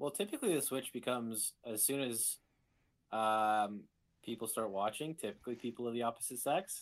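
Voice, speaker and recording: With an unremarkable speaking voice, a man talks at a fairly quick pace in a medium pitch with ordinary pitch variation, on a very clean recording with a silent background. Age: 20s. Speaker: podcast guest. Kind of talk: casual chat.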